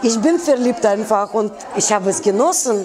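A woman speaks at a moderate pace with very wide pitch swings, crowd noise audible behind her. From Russia. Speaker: fashion designer. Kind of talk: interview. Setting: in her store. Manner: animated. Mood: warm, enthusiastic. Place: shop.

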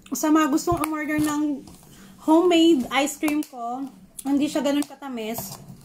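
A woman's high-pitched voice with fairly even intonation over light background noise. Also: moderate pace. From Philippines, Davao; Philippines. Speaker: food vlogger. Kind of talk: casual vlog, eating and cooking talk. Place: kitchen. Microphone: phone near.

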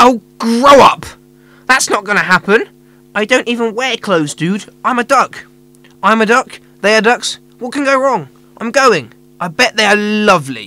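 In a put-on character voice with fairly high pitch, the speaker keeps a moderate pace and leaves long, frequent pauses. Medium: audio drama. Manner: laid-back, slangy.

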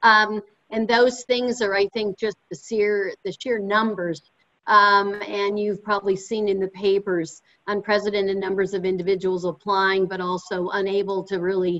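At a moderate pace, a woman talks in a monotone, flat intonation. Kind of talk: panel remarks. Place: home room. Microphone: video call.

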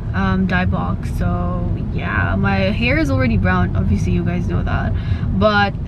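Through loud background noise, a woman talks at a fairly slow pace with ordinary pitch variation. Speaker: vlogger. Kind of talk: casual vlog chat. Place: car.

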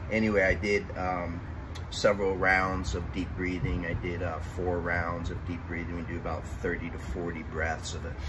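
Over noticeable background noise, a man speaks at a moderate pace. His very deep, low pitch stays monotone and flat. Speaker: fitness instructor. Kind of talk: tutorial explanation. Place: garden.

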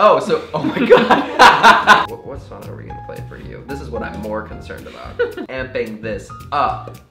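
A man at a moderate pace with long, frequent pauses over clear background music. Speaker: YouTuber. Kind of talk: casual talk to camera. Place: home room. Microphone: camera far.

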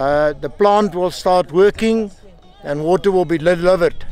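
Faint music sits in the background as a man speaks at a moderate pace. His pitch variation is ordinary, and the sound is dry with no echo. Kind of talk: on-site report to camera. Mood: satisfied, upbeat. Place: open country.

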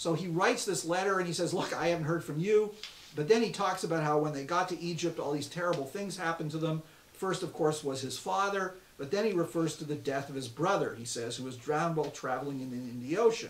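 A man talks at a very fast pace with ordinary pitch variation. The room echo is audible, with light background noise. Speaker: rabbi teaching a course. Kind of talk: lecture. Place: office.

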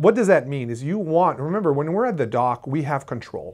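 Against a quiet background, the man's intonation sounds lively. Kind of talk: tutorial. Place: studio.

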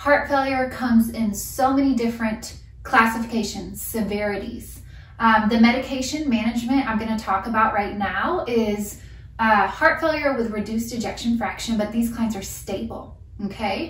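A woman at a moderate pace, ordinary pitch variation, audible room echo. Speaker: nurse educator. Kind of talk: lecture. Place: home room. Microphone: camera far.

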